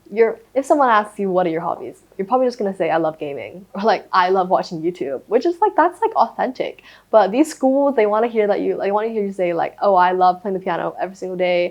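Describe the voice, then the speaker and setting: A woman with a Thai accent at a very fast pace, with lively intonation and hardly any pauses. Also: medium pitch for a woman. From Thailand. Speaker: former boarding school student. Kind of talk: casual interview chat.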